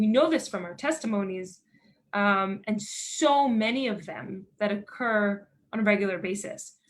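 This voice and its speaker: In a Philadelphia accent, a woman with a somewhat breathy, fairly high voice talks at a moderate pace with ordinary pitch variation. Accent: American, Philadelphia. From Philadelphia, Pennsylvania, USA. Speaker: NGO director of education, army veteran. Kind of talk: lecture.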